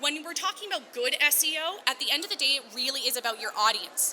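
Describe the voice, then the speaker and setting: Amid noticeable background noise, a woman talks at a fairly quick pace in a raised, projected voice with ordinary pitch variation. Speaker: digital marketing specialist. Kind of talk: conference talk. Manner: fast.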